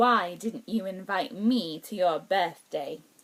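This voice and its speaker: A woman puts on a growling character voice with an angry tone, medium pitch and a fairly slow pace. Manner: thundering, angry.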